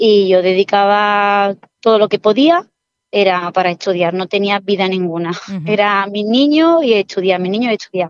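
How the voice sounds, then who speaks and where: A woman with an unremarkable speaking voice at a moderate pace, in a dry, close sound with no echo. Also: medium pitch for a woman, ordinary pitch variation. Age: 40s. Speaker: civil servant, former exam candidate. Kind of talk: interview testimony.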